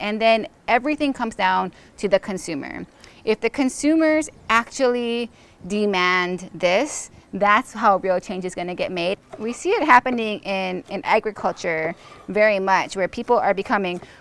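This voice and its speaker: At a moderate pace, a woman speaks with lively intonation in a dry sound with no echo. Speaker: host talking with a chef. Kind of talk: casual conversation. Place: garden.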